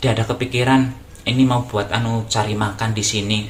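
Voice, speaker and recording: A man talks at a very fast pace with fairly even intonation. Noticeable background noise runs underneath. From Java, Indonesia. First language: Javanese (speaking Indonesian). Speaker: YouTuber. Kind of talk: casual vlog talk. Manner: halting, many fillers.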